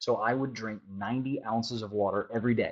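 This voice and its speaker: This is a man with a medium pitch. He talks at a fairly quick pace. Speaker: life coach. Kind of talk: webinar teaching. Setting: webinar. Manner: fast.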